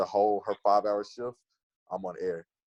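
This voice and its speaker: A man with an American accent talks in an animated tone, the sound dry and close with no echo. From Texas (Dallas). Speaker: student and podcaster. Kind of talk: casual interview chat.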